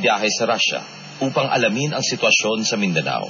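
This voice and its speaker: A man at a fairly quick pace, lively intonation, noticeable background noise behind him. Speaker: radio news announcer. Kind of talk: radio news report.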